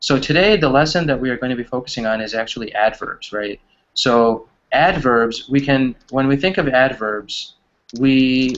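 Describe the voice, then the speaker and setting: A man's normal speaking voice with an American accent, medium pitch, ordinary pitch variation and a moderate pace. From US Midwest, Wisconsin. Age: 20s. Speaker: online English teacher. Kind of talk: online English class.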